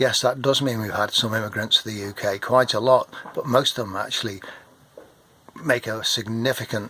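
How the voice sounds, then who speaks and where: Over noticeable background noise, a man with an English accent speaks at a medium pitch and a fairly quick pace. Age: 60s. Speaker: retired marine and vlogger. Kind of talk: political rant to camera. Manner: animated.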